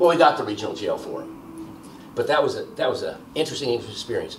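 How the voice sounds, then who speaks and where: With an American accent, a man speaks at a very fast pace amid audible room echo and light background noise. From US Northeast. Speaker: criminology professor. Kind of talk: oral history interview. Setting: filmed interview in Baltimore. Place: home room.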